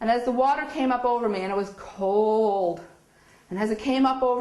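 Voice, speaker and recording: With a Newfoundland accent, a woman talks in an animated tone at a fairly high pitch over noticeable background noise. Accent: Newfoundland Canadian English. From Newfoundland, Canada. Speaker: spiritual speaker. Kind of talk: inspirational talk. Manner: animated storytelling.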